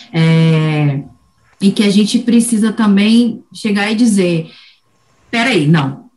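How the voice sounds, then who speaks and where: Very slowly and with long, frequent pauses, a woman at medium pitch speaks in a somewhat breathy voice with lively intonation and very even loudness. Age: 40s. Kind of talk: casual chat.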